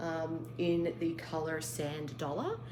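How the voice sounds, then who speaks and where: A woman speaks with a very deep, low pitch. Audible room echo and noticeable background noise surround her voice. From Australia. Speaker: craft vlogger. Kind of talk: casual show-and-tell vlog.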